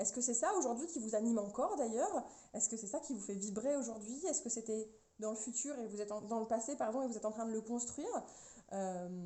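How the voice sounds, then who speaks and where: A woman talks at a fairly quick pace in a fairly high pitch, with ordinary pitch variation. Noticeable background noise sits behind her. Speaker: tarot card reader. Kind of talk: tarot reading for viewers. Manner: fast.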